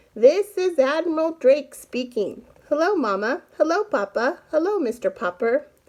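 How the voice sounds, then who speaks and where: A woman's high, put-on character voice with very wide pitch swings at a moderate pace. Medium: read story.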